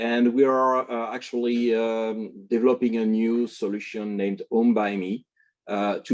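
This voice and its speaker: A man speaks with a French accent. He keeps a moderate pace. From France. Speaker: tech company executive. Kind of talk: panel discussion on video call. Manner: halting, many fillers.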